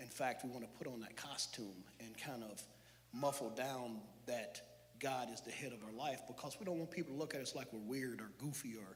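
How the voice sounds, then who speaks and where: A man's medium-pitched voice with audible room echo. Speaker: church speaker. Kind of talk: sermon. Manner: loud; animated.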